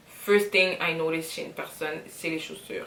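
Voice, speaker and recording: Speaking in a fairly low pitch, a woman keeps her intonation monotone and flat. Audible room echo and noticeable background noise fill the recording. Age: 20s. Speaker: vlogger. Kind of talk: casual get-to-know-me vlog. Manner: mixes French and English.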